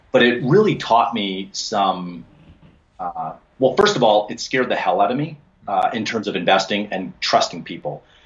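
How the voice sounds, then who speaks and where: With a Canadian accent, a man talks at a moderate pace. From Alberta, Canada. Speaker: commercial real estate investor; podcast guest. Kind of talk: interview. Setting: home office. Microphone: video call.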